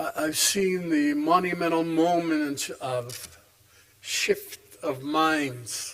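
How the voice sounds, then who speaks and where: Over noticeable background noise, a man with a fairly high voice and lively intonation speaks at a very slow pace. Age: 80s+. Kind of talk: keynote speech. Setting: stage with audience.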